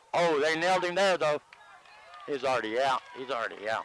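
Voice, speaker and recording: A man with a fairly high pitch speaks at a fairly quick pace with ordinary pitch variation. The sound is dry and close with no echo, though background noise is noticeable. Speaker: play-by-play announcer. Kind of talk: live commentary. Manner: animated.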